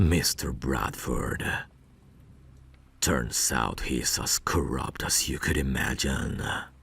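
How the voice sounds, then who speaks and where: In a put-on character voice with a very deep, low pitch, a man speaks at a very slow pace, leaving long, frequent pauses. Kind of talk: ASMR roleplay audio.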